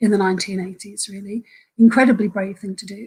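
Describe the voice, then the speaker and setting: Her pitch varies in an ordinary way, and the woman sounds somewhat breathy. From Ireland. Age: 50s. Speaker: trade union activist. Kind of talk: webinar talk. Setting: online webinar. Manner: halting.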